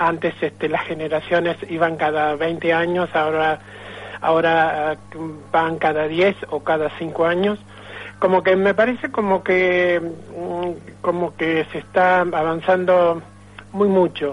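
Over noticeable background noise, a man speaks with a high pitch and monotone, flat intonation. His pace is very slow, with long, frequent pauses. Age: 60s. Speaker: film club founder. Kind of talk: phone interview. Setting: phone call. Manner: halting, many fillers.

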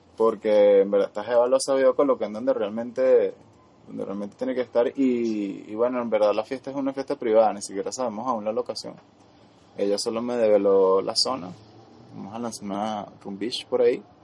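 In an unremarkable speaking voice, a man talks at medium pitch and a fairly quick pace, with fairly even intonation and big swings in loudness. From Venezuela. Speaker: podcast co-host. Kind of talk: casual chat.

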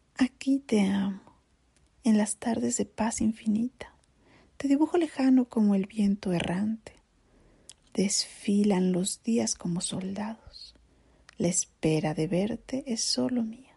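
Very slow, somewhat breathy speech with a dry, close sound and no echo. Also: woman, fairly high pitch for a woman, lively intonation. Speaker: narrator. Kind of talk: poetry reading. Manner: slow, melancholic.

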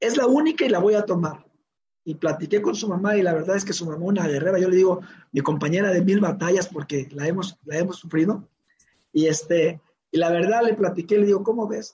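A man's high-pitched voice with a dark, mellow tone, ordinary pitch variation and a fairly quick pace. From Mexico, Oaxaca coast near Guerrero. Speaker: father of a professional tennis player. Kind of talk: interview.

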